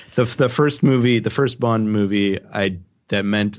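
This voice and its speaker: The background is quiet. A man talks at a moderate pace in a fairly low pitch. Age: 30s. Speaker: video producer. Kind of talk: casual chat. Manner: halting.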